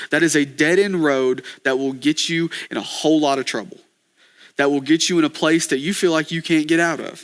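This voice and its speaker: This man, speaking with an American accent at a fairly high pitch, sounds animated and moves at a fairly quick pace on a very clean recording with a silent background. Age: 20s. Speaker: podcast host, young minister. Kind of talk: devotional teaching podcast. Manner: fast.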